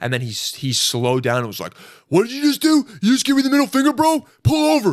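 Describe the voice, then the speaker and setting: Very fast and animated, a man is talking. His loudness swings widely. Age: 30s. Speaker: podcast host. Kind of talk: casual chat.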